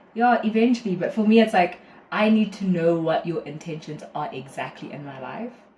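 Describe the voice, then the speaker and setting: A fairly quick pace amid noticeable background noise. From South Africa, KwaZulu-Natal. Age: 20s. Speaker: university student. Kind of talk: casual chat.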